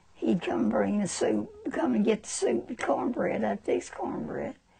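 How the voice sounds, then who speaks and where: A woman with an American accent talks at a fairly slow pace over noticeable background noise. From Alabama, US South. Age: 80s+. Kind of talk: interview answer.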